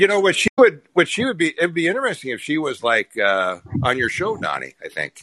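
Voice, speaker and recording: A man with an American accent talks at a fairly quick pace, the sound dry and close with no echo. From Minnesota, small town. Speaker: regular caller. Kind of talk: casual discussion. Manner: repetitive, halting.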